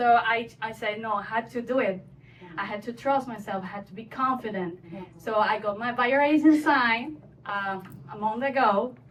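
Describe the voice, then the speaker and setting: The woman's pitch is fairly high and her pace moderate. She speaks with a Spanish accent. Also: ordinary pitch variation. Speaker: real estate agent. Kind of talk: panel discussion.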